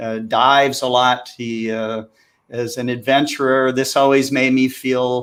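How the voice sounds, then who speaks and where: A man talks with an American accent at medium pitch. His intonation is monotone and flat. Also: very clean recording, silent background. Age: 60s. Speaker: amateur astronomer. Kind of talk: casual chat. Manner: halting.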